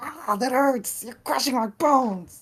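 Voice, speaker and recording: Fairly slow and high-pitched, a female-sounding put-on character voice. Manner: pained, protesting.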